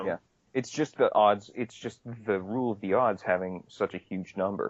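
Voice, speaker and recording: In a dry, close sound with no echo, a man with a plain, everyday voice talks at a moderate pace and fairly low pitch, with fairly even intonation. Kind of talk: casual podcast conversation. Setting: low-quality recording.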